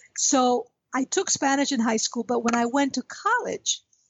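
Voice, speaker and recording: A woman's voice with a high pitch. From US, Cuban-American family. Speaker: retired executive. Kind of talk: interview conversation.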